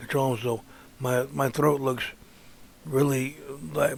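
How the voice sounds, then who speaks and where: A moderate tempo and flat, monotone delivery amid noticeable background noise. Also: man. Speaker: artist and toy reviewer. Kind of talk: casual vlog introduction. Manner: halting, repeats words.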